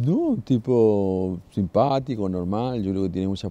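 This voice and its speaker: A man's very deep, low voice with a dark, mellow tone. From Chile. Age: 50s. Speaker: news worker, exile. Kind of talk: documentary interview.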